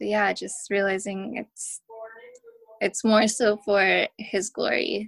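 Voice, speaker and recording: This woman has an American accent and vocal fry. She talks at a very slow pace with fairly even intonation. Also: medium pitch for a woman, dry, close sound with no echo. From US West Coast, Oakland (Bay Area). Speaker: churchgoer sharing her story. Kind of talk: testimony. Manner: casual with many fillers.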